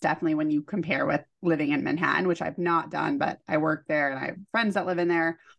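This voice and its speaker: A woman with a fairly low voice speaks with lively intonation and vocal fry. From California. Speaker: podcast co-host. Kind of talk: casual chat.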